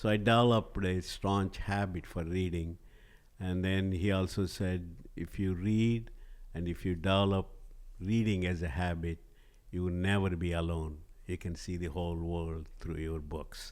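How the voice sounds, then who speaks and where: Here a man speaks with a Telugu accent. His pitch is very deep and low, and his intonation stays fairly even. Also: moderate pace. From southern India. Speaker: organic spice company CEO. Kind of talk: podcast interview.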